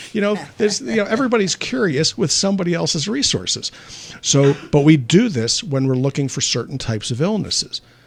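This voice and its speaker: The speech moves at a fairly quick pace with very wide pitch swings. Noticeable background noise runs underneath. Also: man, fairly high pitch for a man. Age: 60s. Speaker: physician. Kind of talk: call-in health show. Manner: conversational.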